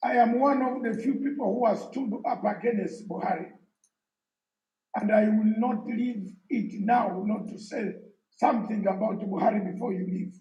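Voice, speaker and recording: A man's high voice at a moderate pace, with audible room echo. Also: ordinary pitch variation. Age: 60s. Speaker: exiled opposition activist. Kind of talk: conference speech. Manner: emphatic.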